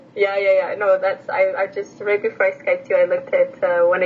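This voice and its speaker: A woman speaks at a fairly quick pace. Noticeable background noise runs beneath her. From Edmonton, Canada (born in Romania). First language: Romanian. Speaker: language teacher and PhD student. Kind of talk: casual chat.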